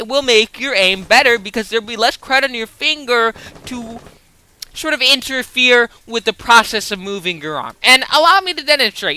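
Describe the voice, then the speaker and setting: Background noise is noticeable throughout. The pace stays moderate. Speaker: gaming streamer. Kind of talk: live gameplay commentary. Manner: loud.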